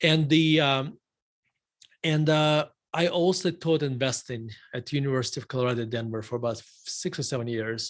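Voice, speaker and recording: With a Russian accent, a man talks at a moderate pace and a fairly high pitch with ordinary pitch variation and long, frequent pauses, on a very clean recording with a silent background. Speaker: investment firm CEO. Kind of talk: interview. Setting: live stream.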